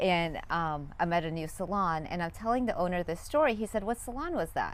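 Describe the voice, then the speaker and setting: A woman speaks at a fairly quick pace in an animated tone. Her fairly low voice has lively intonation. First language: not English. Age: 40s. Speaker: life coach and former hairdresser. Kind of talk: interview.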